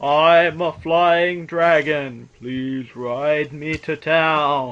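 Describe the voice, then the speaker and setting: The speaker uses a put-on character voice and talks at a very slow pace. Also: man, fairly high pitch for a man, quiet background. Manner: serious.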